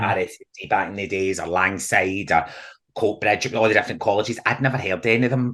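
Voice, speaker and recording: A man talks at a very fast pace in a Glaswegian accent. His fairly low voice has an animated, bright, sharp tone. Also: ordinary pitch variation. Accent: Scottish, Glasgow area. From Scotland. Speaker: theatre actor and comedian. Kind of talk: podcast interview answer. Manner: chatty, animated storytelling.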